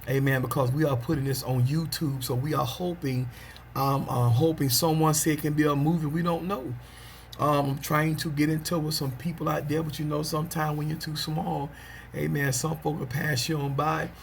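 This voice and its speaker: Fairly high-pitched male speech, fairly quick and fairly even in intonation, with audible room echo. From US South, Pelham, Georgia. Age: 40s. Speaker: preacher. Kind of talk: casual video monologue. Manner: frequent amens and filler ums.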